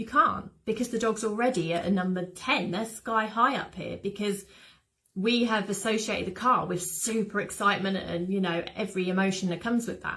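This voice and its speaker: A British accent at a fairly quick pace, with fairly even intonation. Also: woman, medium pitch for a woman. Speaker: dog behaviour specialist. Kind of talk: webinar talk. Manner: whispering in part.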